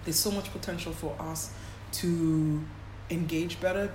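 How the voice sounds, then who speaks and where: A woman keeps a moderate tempo, with audible room echo and noticeable background noise around her voice. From Kenya, Nairobi. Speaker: sports agency founder. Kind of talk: interview. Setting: in London, noisy location.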